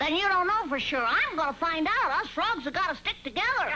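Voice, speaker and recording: In a cartoonish character voice of extremely high pitch, someone talks at a fairly quick pace over clear background noise. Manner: earnest, brisk.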